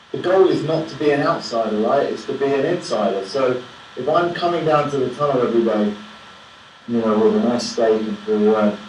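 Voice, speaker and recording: An English accent with ordinary pitch variation, amid audible room echo and noticeable background noise. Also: man. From England. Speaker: film director. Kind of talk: Q&A after a film screening. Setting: Skype video call from New York. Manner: hesitant, many repetitions. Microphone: low quality Skype sound.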